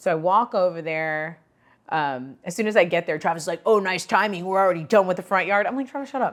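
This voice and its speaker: Recorded very cleanly against a silent background, a woman with an American accent talks very fast at a medium pitch, her intonation lively and her tone animated. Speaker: podcast host. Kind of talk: casual chat storytelling. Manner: loud.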